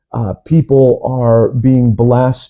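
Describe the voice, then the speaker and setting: In an American accent, a man talks at medium pitch with a dark, mellow tone. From US Midwest. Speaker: evangelist pastor. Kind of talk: interview. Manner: hesitant, many fillers; deliberately articulate.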